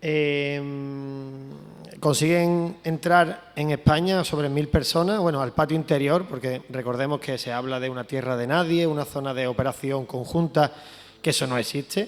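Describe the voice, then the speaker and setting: This man talks at a fairly slow pace in a fairly high pitch, keeping his intonation fairly even. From Andalusia, Spain. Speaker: photojournalist. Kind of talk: talk presenting a photo to an audience.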